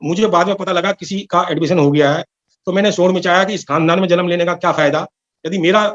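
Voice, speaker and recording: A man's high-pitched voice with fairly even intonation, in a dry, close sound with no echo. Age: 70s. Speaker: devotee giving testimony. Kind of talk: testimony.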